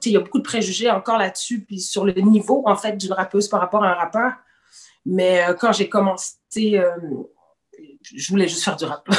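Here is a woman with a normal speaking voice and a medium pitch. She talks at a moderate pace with ordinary pitch variation. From Quebec City, partly raised in Senegal. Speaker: rapper. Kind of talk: casual chat.

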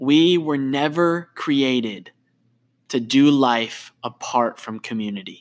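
On a very clean recording with a silent background, a man speaks in a warm tone at a medium pitch. His pace is very slow, with ordinary pitch variation. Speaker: podcast host. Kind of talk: faith-based interview conversation. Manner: warm, earnest.

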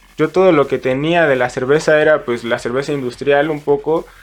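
Over music in the background, a man with a fairly high voice speaks at a moderate pace with fairly even intonation. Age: 20s. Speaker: brewer. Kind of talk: interview.

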